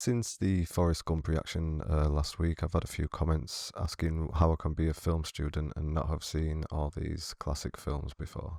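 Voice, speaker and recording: A man with a British accent speaks in a very deep, low, dark, mellow voice with hardly any pauses. The sound is dry and close with no echo, on a very clean recording with a silent background. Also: fairly even intonation, moderate pace. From Britain. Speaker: film student. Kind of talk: movie reaction commentary. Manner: subdued, monotone.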